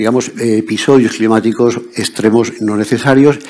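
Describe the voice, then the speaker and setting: Fairly even in intonation, a man speaks at a moderate pace. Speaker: conference speaker. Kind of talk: lecture.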